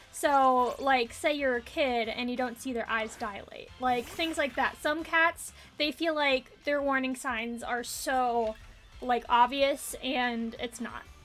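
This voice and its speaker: Over music in the background, a woman talks at a very slow pace with a high pitch and fairly even intonation. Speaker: VTuber streamer. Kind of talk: casual live stream chat. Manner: hesitant, many fillers.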